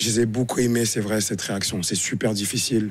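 Speaking at a very fast pace, a man keeps to a medium pitch. His delivery has a monotone, flat intonation. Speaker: football pundit, former international player. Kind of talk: casual chat.

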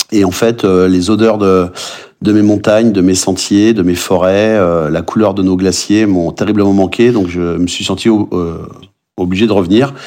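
A man with an ordinary speaking voice talks at a moderate pace, with fairly low pitch and fairly even intonation. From Brittany, France. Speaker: chef and trail runner. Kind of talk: podcast interview.

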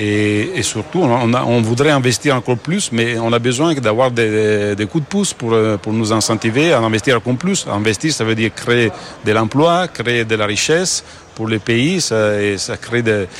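A man speaks at a fairly slow pace with an Italian accent over noticeable background noise. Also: medium pitch for a man, ordinary pitch variation. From Italy. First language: Italian (speaking French). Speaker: company founder. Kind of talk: business interview.

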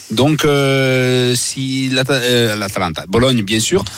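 A man in an Italian accent speaks with ordinary pitch variation. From Italy. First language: Italian (speaking French). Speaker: Italian football pundit. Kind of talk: radio sports betting discussion.

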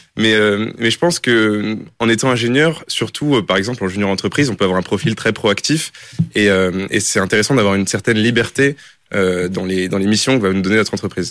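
A man's voice at a fairly quick pace, with very even loudness. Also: ordinary pitch variation. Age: 20s. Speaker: engineering student. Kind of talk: interview.

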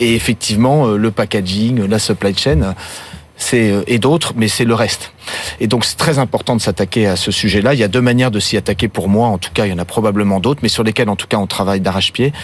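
A man with a fairly low pitch talks fairly quickly, with ordinary pitch variation, as noticeable background noise carries on. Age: 50s. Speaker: spirits company CEO. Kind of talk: interview. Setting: studio.

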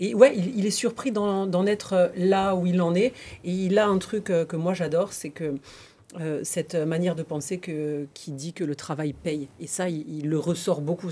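With a dark, mellow tone, the woman speaks with ordinary variation in pitch. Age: 30s. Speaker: TV presenter. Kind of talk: casual chat.

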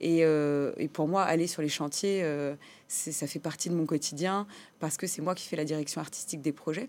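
Over a very clean recording with a silent background, a woman with a very deep, low pitch speaks at a moderate pace with fairly even intonation. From France, Compiègne, Portuguese immigrant parents. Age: 30s. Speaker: entrepreneur. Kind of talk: interview. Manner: hesitant, many repetitions and fillers.

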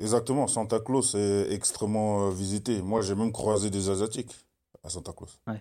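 Speaking at a moderate pace in a fairly low pitch, a man keeps a flat, monotone delivery on a very clean recording with a silent background. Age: 30s. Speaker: football goalkeeper. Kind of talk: casual chat.

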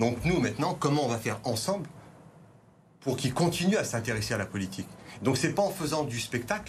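Over audible room echo, a man speaks at a very fast pace with lively intonation. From France, Vaulx-en-Velin near Lyon. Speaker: teacher and parliamentary candidate. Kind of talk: televised political debate. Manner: halting, repeats words.

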